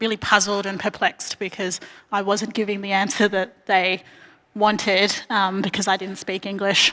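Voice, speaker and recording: At a moderate pace, a woman speaks in a bright, sharp tone at medium pitch, her intonation monotone and flat. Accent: Australian. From Australia, grew up in Bendigo, Victoria; family from Arnhem Land. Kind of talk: panel talk. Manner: many fillers, um.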